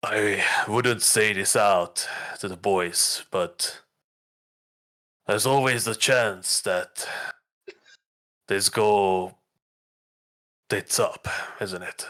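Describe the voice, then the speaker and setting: Quiet and raspy, a man puts on a character voice at a fairly low pitch, speaking at a very slow pace with fairly even intonation and long, frequent pauses. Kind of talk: casual, slangy. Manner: hushed.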